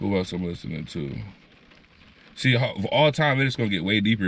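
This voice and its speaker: Speaking at a very fast pace, a man sends his pitch through very wide swings. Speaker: guest on a hip-hop podcast. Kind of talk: casual chat. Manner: casual with frequent fillers and restarts.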